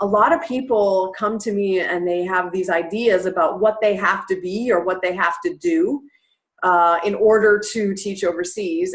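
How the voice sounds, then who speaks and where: A woman speaks with an American accent at a moderate pace. Her pitch is medium and her intonation lively. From US Midwest, Cleveland, Ohio. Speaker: English teacher trainer. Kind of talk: online webinar presentation. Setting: online live class. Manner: casual, with frequent fillers.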